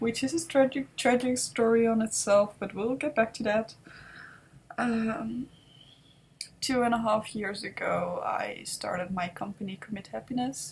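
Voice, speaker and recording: A somewhat breathy, fairly high female voice with a Dutch accent, fairly slow, with ordinary pitch variation. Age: 20s. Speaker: vlogger and entrepreneur. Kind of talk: personal vlog monologue. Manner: halting.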